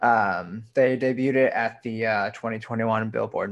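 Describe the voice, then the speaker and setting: A man speaks at a fairly slow pace in a plain, everyday voice. His pitch is medium and his intonation fairly even. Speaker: podcast co-host. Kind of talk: casual podcast chat. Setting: studio. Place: home room.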